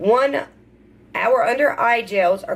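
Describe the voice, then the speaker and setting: A woman talks at a fairly slow pace in a Southern US accent. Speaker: beauty vlogger. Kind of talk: unboxing video. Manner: casual, hesitant with fillers.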